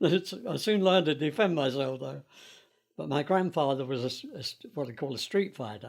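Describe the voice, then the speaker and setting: A man with a London accent, fairly high pitch, lively intonation and a moderate pace. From London, England. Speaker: interviewee sharing life story. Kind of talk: oral history interview. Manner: halting, with fillers.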